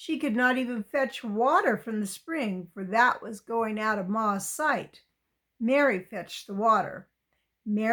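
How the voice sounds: The voice is a natural reading voice with ordinary pitch variation. The background is quiet.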